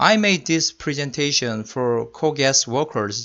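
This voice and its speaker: At a very slow pace, a man speaks with lively intonation at a medium pitch. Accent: Korean. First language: Korean. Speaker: electrical engineer. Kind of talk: lecture. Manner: halting.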